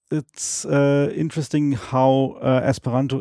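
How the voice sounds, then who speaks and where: A man with a German accent talks at a fairly slow pace in a dark, mellow tone. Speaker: Esperanto speaker. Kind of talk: interview. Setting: at home, in person. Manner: halting, many fillers and repetitions.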